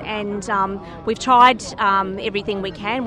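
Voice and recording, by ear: Noticeable background noise is present throughout. A woman talks at a medium pitch, her intonation fairly even.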